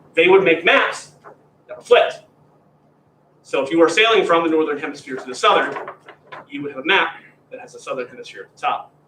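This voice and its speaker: Audible room echo surrounds a man talking at a fairly quick pace in an American accent. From Pennsylvania. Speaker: graduate teaching assistant. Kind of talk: lecture. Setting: classroom, also streamed. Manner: informal, conversational.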